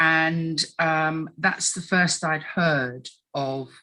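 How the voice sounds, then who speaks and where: In an English accent, a woman speaks with a very deep, low pitch, a bright, sharp tone and fairly even intonation. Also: very clean recording, silent background. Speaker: tribunal witness. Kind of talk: testimony. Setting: recorded tribunal interview. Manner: halting, frequent ums.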